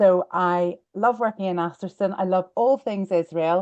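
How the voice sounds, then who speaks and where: A woman with a Belfast accent speaks at a medium pitch in a dark, mellow tone with fairly even intonation. The sound is dry and close with no echo, and the background is quiet. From Northern Ireland, Belfast. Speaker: real estate lawyer. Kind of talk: webinar presentation.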